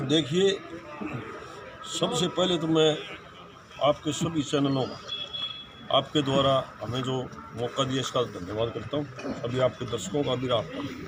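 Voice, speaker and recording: Speaking in a fairly high voice, a man shows ordinary pitch variation and takes long, frequent pauses. Noticeable background noise runs under his words. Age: 60s. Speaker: community representative. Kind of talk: media interview.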